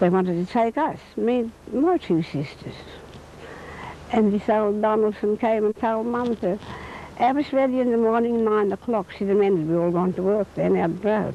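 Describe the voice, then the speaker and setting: Noticeable background noise runs under a woman's voice. She speaks at a moderate pace with a fairly high pitch and ordinary pitch variation. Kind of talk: interview answer, recounting memories.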